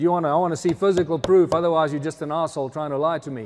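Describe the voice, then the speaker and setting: There is light noise in the background. A man speaks at a high pitch with ordinary pitch variation. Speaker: presenter. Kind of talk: lecture. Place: hall. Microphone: handheld.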